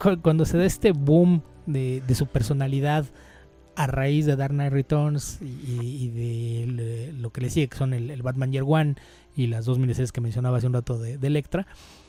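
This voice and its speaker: Music plays in the background as the speaker keeps a moderate pace and fairly even intonation. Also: man, medium pitch for a man. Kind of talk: podcast discussion of comics, explanatory talk. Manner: explanatory, fluent.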